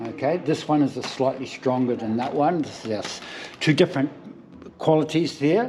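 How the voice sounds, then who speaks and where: In a New Zealand accent, the speaker goes at a moderate pace with ordinary pitch variation over noticeable background noise. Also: man, fairly high pitch for a man. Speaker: spearfishing shop salesperson. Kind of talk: in-store product demonstration.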